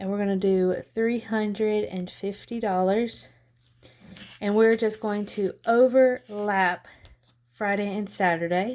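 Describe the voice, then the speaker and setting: Very slowly and soft-spoken, a woman talks at a medium pitch with fairly even intonation on a very clean recording with a silent background. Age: 20s. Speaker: lifestyle budgeting vlogger. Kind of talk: casual vlog tutorial.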